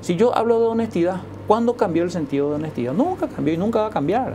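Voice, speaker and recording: Very fast speech carries lively intonation. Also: woman. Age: 60s. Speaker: educator. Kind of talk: TV interview. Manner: halting.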